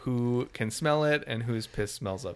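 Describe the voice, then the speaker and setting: At a fairly quick pace and with fairly even intonation, a man speaks in an ordinary speaking voice. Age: 30s. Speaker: podcast co-host. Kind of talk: casual chat.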